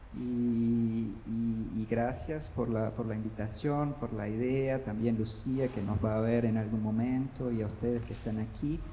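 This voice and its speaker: A man with a Brazilian accent speaks very slowly at a medium pitch. Noticeable background noise and audible room echo fill the recording. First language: Portuguese (speaking Spanish). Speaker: panelist at book fair. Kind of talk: panel discussion. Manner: halting, many repetitions.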